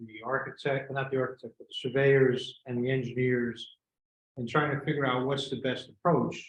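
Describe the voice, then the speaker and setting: At a moderate pace, a man speaks in a somewhat breathy voice of medium pitch. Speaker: presenter at a village board meeting. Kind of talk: public meeting presentation. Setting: village board meeting room.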